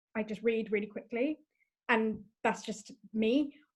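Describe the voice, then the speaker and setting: Her pitch is fairly high for a woman. She varies it in an ordinary way. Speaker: podcast host. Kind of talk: podcast interview.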